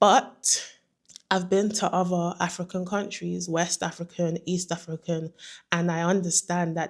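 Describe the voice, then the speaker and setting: In a London accent, a woman speaks at a moderate pace in a monotone with a flat intonation and a fairly low pitch. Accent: British (London). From London, England. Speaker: vlogger. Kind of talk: casual vlog monologue.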